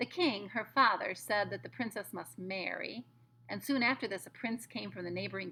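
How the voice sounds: Someone reads in a natural voice. The reading sounds natural the whole way through.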